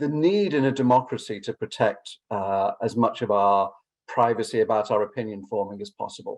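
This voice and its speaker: A man with an English accent at a moderate pace. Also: medium pitch for a man, ordinary pitch variation. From England. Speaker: law academic. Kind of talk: conference response talk. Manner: halting, many fillers and repetitions.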